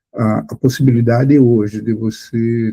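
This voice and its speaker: The voice is a man's, somewhat breathy. Its pitch sits in the medium range. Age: 60s. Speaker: blind accessibility advocate. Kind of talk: podcast interview.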